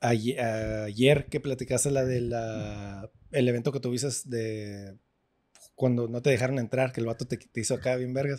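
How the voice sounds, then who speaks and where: A man talks in a plain, everyday voice at medium pitch. His intonation is fairly even and his pace fairly slow. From US-Mexico border, born in California to Mexicali parents. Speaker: podcast host. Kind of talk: casual chat. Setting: restaurant.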